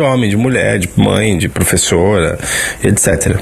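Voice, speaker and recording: A man speaks rather slowly with normal pitch movement while noticeable background noise carries on. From São Paulo. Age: 30s. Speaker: artist, listener sending audio. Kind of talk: recorded testimony.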